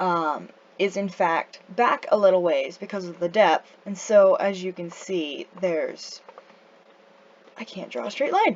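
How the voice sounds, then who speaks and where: Over noticeable background noise, a woman speaks fairly slowly at a medium pitch, with ordinary pitch variation and big swings in loudness. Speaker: amateur artist. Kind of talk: casual drawing tutorial narration. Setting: home recording, low-quality microphone. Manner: hesitant, stuttering, many fillers.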